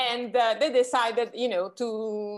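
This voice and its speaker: In a very clean recording with a silent background, a woman speaks at fairly high pitch with an Italian accent. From Italy. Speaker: magazine founder and editor. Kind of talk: interview. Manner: halting.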